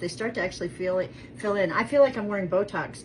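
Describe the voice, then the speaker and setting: A woman talks at a fairly quick pace and a medium pitch. Noticeable background noise can be heard. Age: 50s. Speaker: lifestyle vlogger doing product review. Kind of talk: casual cooking vlog chat. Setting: home kitchen. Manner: chatty, rambling with fillers.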